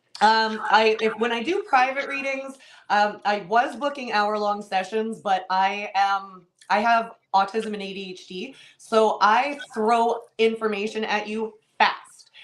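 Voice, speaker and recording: A woman with a fairly high pitch speaks in an animated tone, her loudness swinging widely. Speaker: tarot reader. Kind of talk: casual interview. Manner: fast.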